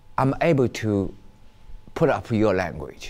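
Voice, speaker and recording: A man speaks at a fairly low pitch with a Chinese accent. His voice makes very wide pitch swings. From China. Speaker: interviewee. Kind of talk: interview. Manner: halting.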